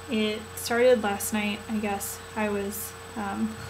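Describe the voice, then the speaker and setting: A woman speaks quietly. Noticeable background noise and audible room echo surround her voice. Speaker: vlogger, graduate student. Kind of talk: casual vlog. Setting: hotel room.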